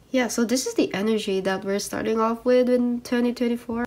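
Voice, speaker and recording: Over noticeable background noise, a woman talks at a moderate pace and a fairly high pitch with ordinary pitch variation. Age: 20s. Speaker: K-pop photocard collector YouTuber. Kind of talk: casual chat. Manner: casual, hesitant with fillers.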